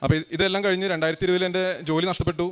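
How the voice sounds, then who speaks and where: A man speaks in a high, flat monotone. Noticeable background noise sits behind him. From Kerala, India (Kalady, Ernakulam area). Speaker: churchgoer giving testimony. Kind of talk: testimony.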